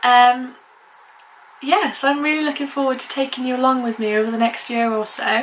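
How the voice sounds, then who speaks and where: A woman with a high voice talks as noticeable background noise carries on behind her. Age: 20s. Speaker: vlogger. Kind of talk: casual vlog talk. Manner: halting.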